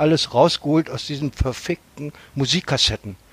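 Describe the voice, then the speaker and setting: In a dry, close sound with no echo, a man with a plain, everyday voice talks at a moderate pace, his fairly high pitch showing ordinary variation. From Germany, Hannover. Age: 60s. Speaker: punk singer. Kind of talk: casual chat.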